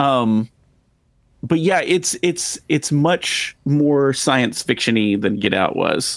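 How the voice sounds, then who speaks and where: A man with a fairly high voice and a slight Texan accent talks very slowly, his intonation lively. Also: very even loudness. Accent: slight Texan drawl. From Texas. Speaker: podcast host. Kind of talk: casual chat.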